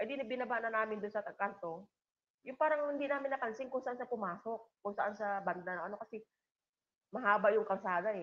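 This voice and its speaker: A woman speaks at a fairly high pitch. Her pace is fairly quick, with ordinary pitch variation. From Philippines, island coastal town. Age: 50s. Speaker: livestream vlogger. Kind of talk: casual livestream chat. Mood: emotional, reflective. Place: home room. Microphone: video call.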